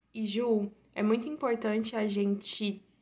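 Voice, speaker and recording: Fairly high, somewhat breathy speech from a woman, its intonation fairly even. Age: 19. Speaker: university student, podcast guest. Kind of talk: casual chat about faith.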